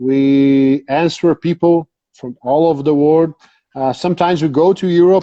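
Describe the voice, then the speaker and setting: Speaking with a Brazilian Portuguese accent, a man keeps a moderate pace and fairly even intonation at a fairly high pitch. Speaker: dog breeder. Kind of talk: interview. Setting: Instagram live video call. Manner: halting.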